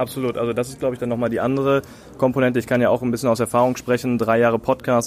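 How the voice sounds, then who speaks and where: Very fast speech comes from a man with a medium pitch. His intonation is monotone and flat. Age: 20s. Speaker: tech startup founder and podcaster. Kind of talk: live podcast interview. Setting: conference stage with audience.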